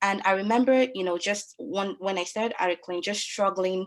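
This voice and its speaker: This woman has a Nigerian accent and a medium pitch. She talks at a moderate pace with ordinary pitch variation. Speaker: lawyer and webinar moderator. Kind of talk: webinar panel moderation. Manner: hesitant, many fillers.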